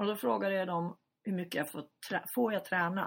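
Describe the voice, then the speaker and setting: Here a woman speaks at a fairly slow pace. Her voice is somewhat breathy. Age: 50s. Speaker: journalist and editor, brain tumour survivor. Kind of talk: interview.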